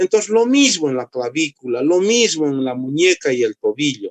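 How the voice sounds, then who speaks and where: Recorded dry and close with no echo, a man is speaking. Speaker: medical lecturer, orthopedic doctor. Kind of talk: lecture. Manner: dry, strict.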